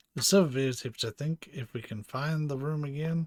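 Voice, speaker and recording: The man's voice is somewhat breathy. The sound is dry and close with no echo, in a very clean recording with a silent background. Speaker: gaming streamer. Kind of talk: live gameplay commentary. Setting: live stream.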